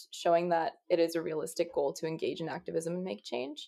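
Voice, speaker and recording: A woman's fairly low voice at a fairly quick pace with ordinary pitch variation, an unremarkable speaking voice. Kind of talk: podcast interview.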